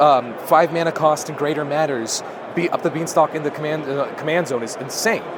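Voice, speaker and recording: Noticeable background noise sits behind a man speaking at a fairly high pitch. His pitch varies an ordinary amount. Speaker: cube content creator, interviewer. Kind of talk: convention interview, casual talk.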